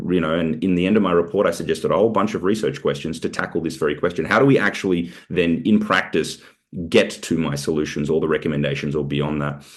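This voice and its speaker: Speaking with an Australian accent, a man has a very deep, low pitch and ordinary pitch variation. He talks at a very fast pace. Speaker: researcher presenting report. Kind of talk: webinar Q&A. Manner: halting, many fillers.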